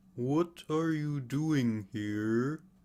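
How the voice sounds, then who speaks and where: Using a put-on character voice, a man sounds gruff at a medium pitch. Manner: angry, shouting.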